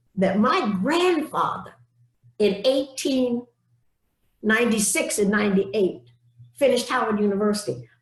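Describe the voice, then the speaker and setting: In an American accent, the woman talks at a rather slow pace. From US South. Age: 80s+. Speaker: civil rights activist. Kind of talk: speech. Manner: emphatic.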